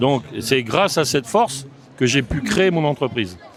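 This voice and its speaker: Over noticeable background noise, a man speaks at medium pitch with lively intonation. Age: 70s. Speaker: business association president, former top athlete. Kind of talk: podcast interview.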